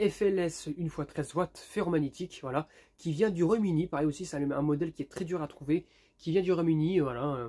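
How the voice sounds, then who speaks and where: A man's fairly high voice, with ordinary pitch variation, moves at a moderate pace. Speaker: YouTuber, lamp collector. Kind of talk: casual vlog review. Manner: hesitant, many fillers.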